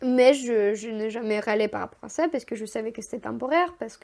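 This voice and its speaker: A woman has a normal speaking voice, pitched fairly high, with fairly even intonation. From Moldova (Chisinau). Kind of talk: podcast interview answer, personal storytelling. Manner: casual, conversational.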